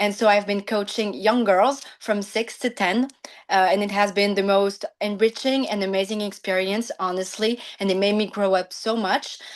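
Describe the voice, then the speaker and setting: The woman's pitch sits in the medium range and her intonation stays fairly even. She talks at a moderate pace. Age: 20s. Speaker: law student and gymnastics coach. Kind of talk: prepared speech at online event. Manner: halting, many fillers.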